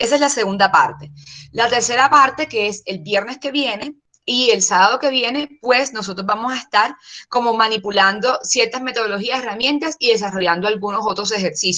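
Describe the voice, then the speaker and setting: Her tone bright and sharp, a woman speaks at a fairly quick pace and fairly high pitch with ordinary pitch variation. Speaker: course instructor. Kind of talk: online lecture. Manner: fast.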